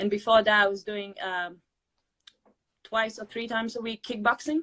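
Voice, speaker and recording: A woman with a bright, sharp tone and fairly high pitch speaks at a moderate pace, her intonation fairly even but her loudness swinging widely, in a dry, close sound with no echo. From Latvia. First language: Latvian. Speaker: weight loss interviewee. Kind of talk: interview. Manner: halting.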